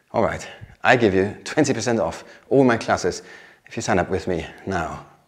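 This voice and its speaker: Long, frequent pauses mark speech in a German accent with ordinary pitch variation. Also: man. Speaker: vlogger renovating a chateau. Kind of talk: scripted sponsor skit.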